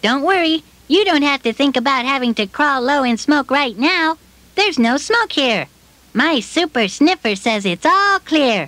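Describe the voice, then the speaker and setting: In a cartoonish character voice, a female-sounding speaker talks at a moderate pace with a high pitch. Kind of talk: children's puppet show.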